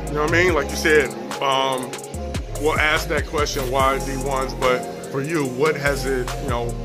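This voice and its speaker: Clear music sits in the background as a man talks at a moderate pace. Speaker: sports interviewer. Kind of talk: interview questions. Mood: upbeat, casual.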